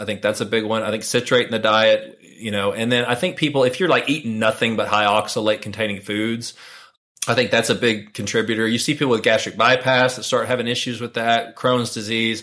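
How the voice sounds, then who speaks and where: A man with a medium pitch talks in a plain, everyday voice at a fairly quick pace and with fairly even intonation. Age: 40s. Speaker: urologist. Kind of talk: interview.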